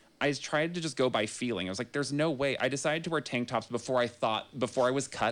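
An unremarkable speaking voice from a man with an American accent, medium pitch and a fairly quick pace, on a very clean recording with a silent background. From Northern California (Grass Valley). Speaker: personal trainer. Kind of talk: casual chat. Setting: studio.

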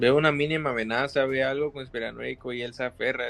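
Speaking at a fairly quick pace, a man talks with a Mexican accent. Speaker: film fan co-host. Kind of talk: casual chat. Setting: live stream.

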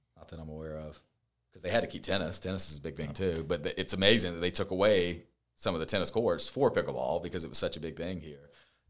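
At a very fast pace, a man with an American accent speaks in a very deep, low pitch, his loudness swinging widely. The recording is very clean, with a silent background. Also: ordinary pitch variation. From upstate South Carolina (Spartanburg). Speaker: real estate agent and podcast co-host. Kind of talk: casual chat. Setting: office at a marina.

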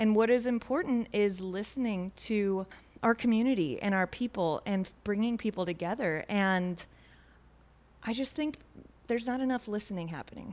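With an ordinary speaking voice, a woman talks at a moderate pace and fairly high pitch with ordinary pitch variation. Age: 30s. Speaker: podcast host. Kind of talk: interview; scripted intro. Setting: studio.

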